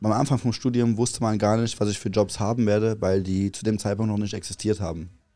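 This man has a dark, mellow tone and a fairly low pitch, with fairly even intonation at a fairly quick pace. The recording is very clean, with a silent background. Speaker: podcast co-host and content creator. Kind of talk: casual late-night chat. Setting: tent at a music festival, at night.

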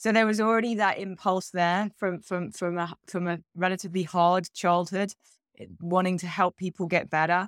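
A woman speaks in an English accent at a medium pitch and a moderate pace. Her intonation is fairly even, and the sound is dry and close with no echo. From England. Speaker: relationship coach. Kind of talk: casual interview chat.

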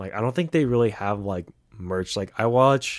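Recorded very cleanly against a silent background, a man talks at a fairly quick pace with ordinary pitch variation. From US West Coast, San Francisco Bay Area. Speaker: podcast co-host, nursing student. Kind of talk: casual chat.

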